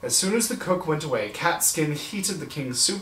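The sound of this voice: Speaking at a moderate pace, a man has a fairly bright tone and lively intonation, with audible room echo around him.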